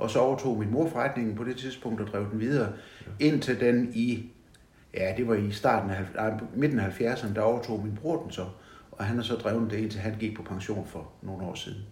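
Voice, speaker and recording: There is audible room echo as a somewhat breathy man speaks at a moderate pace and medium pitch, with ordinary pitch variation. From Southern Jutland, Denmark (Vojens). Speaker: retired bank manager. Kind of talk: interview about life story. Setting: at home.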